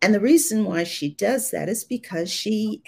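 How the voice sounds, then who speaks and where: Somewhat breathy, this woman's voice swings very widely in pitch. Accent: American. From Ohio, US Midwest. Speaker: debut thriller author. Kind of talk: live interview. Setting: video call from Atlanta.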